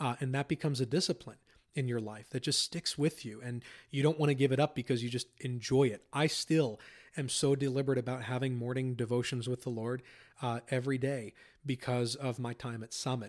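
With an American accent, a man with a normal speaking voice talks at a fairly quick pace and medium pitch, his intonation fairly even, in a very clean recording against a silent background. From Pennsylvania. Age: 30s. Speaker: Bible school dean and theology professor. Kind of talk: interview testimony.

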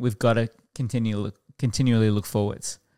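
A man with an Australian accent speaks at a moderate pace in a medium pitch with fairly even intonation, recorded very cleanly against a silent background with a dry, close sound and no echo. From Queensland, Australia (Toowoomba, Warwick). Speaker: pastor. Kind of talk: casual chat.

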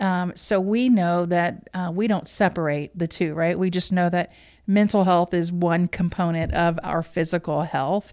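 A woman talks at a fairly slow pace in a fairly low voice with fairly even intonation, an ordinary speaking voice. The recording is very clean, with a silent background. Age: 50s. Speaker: podcast host. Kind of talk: casual interview conversation.

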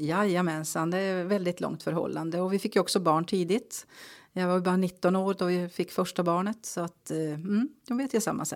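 A woman with a normal speaking voice talks at a medium pitch, varying it in an ordinary way, on a very clean recording with a silent background. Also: moderate pace. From Norrbotten, northern Sweden (Kalix). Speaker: local politician. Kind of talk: interview.

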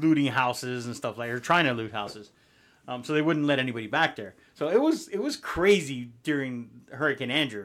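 A man with an American accent and a normal speaking voice, medium pitch, ordinary pitch variation and a fairly quick pace, on a very clean recording with a silent background. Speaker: podcast co-host, real estate agent. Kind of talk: casual chat.

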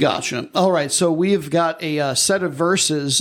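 Here is a man with an unremarkable speaking voice, pitched fairly high. He talks at a moderate pace. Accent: American. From US Midwest. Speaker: podcast host. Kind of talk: casual chat.

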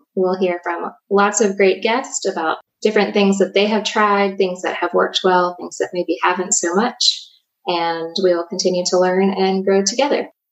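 A woman with an American accent speaks at a moderate pace in an unremarkable speaking voice, her medium pitch carrying fairly even intonation. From southern Virginia (Danville). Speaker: podcast host, economic development leader. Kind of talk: casual chat.

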